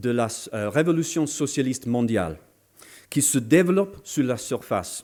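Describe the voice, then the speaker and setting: Speaking very slowly with a non-native accent, a man uses a fairly high pitch, a dark, mellow tone and very wide pitch swings, captured on a very clean recording with a silent background. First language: not French (speaking French). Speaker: political speaker. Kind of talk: political lecture. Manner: halting, many hesitations.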